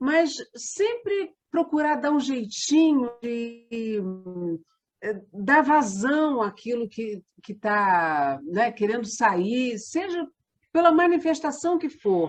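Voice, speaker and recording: Over music in the background, a woman with a high voice speaks very slowly, her pitch swinging very widely. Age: 60s. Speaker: theatre company member. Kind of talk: interview.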